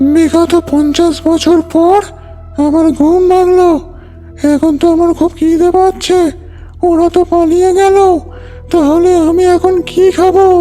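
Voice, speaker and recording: A female-sounding, cartoonish character voice talks at an extremely high pitch and a fairly slow pace. The intonation is monotone and flat, with clear music in the background. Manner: menacing, contemptuous.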